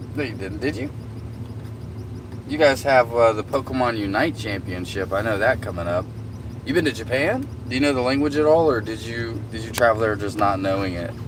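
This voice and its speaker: With a Southern US accent, a man talks fairly quickly with ordinary pitch variation and long, frequent pauses, amid noticeable background noise and audible room echo. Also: medium pitch for a man. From US South. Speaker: livestreamer. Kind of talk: casual chat.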